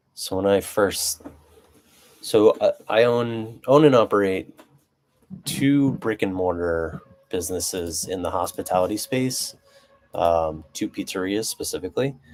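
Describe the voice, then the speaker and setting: A soft-spoken man with a fairly low pitch, lively intonation, a fairly slow pace and long, frequent pauses. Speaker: business owner, live streamer. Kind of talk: casual live stream monologue. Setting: live stream. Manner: soft-spoken, low talker; hesitant with many fillers.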